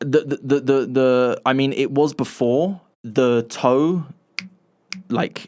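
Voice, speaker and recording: Very slow speech from a man with an English accent, medium pitch, fairly even intonation and long, frequent pauses. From England. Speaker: podcast co-host. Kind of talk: casual chat.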